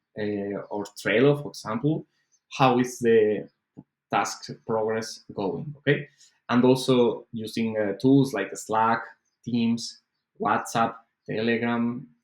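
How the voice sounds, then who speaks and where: A man speaks at a very slow pace with long, frequent pauses. His pitch is medium and his intonation fairly even. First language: not English. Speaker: online course instructor. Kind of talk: lecture. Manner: halting, many fillers.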